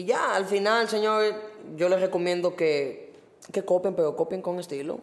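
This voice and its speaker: A man speaks at a moderate pace with a high pitch and ordinary variation in pitch. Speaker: graphic designer and letterer. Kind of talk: casual chat.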